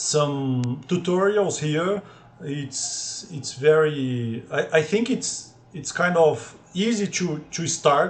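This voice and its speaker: At a very slow pace, a man with a high voice speaks with ordinary pitch variation. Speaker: programming tutor. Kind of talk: tutorial. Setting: video call with screen sharing. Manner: halting, many repetitions.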